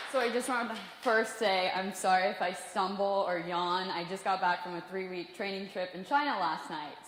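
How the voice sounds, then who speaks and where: Amid noticeable background noise and audible room echo, a woman with an American accent speaks at a moderate pace in a medium pitch, with ordinary pitch variation and hardly any pauses. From US Midwest, Kansas City. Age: 20s. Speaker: professional cliff diver. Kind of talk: motivational talk.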